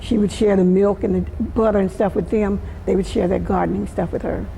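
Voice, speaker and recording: A woman with an American accent at a fairly quick pace, amid noticeable background noise and audible room echo. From US South, Florida. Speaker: community elder. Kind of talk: oral history interview.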